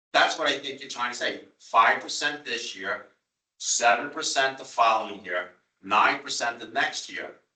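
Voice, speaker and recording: A man with a Long Island accent speaks at a moderate pace. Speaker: town official at a transit board meeting. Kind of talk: public meeting debate. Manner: animated.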